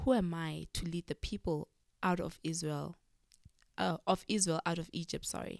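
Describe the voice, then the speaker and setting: Here a woman talks at a moderate pace with a fairly low pitch. The sound is dry and close, with no echo. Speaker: podcast co-host. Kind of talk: casual chat. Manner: animated.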